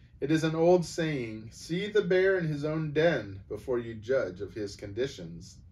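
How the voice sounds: A man's croaky, put-on character voice, fairly high in pitch, at a moderate pace with hardly any pauses.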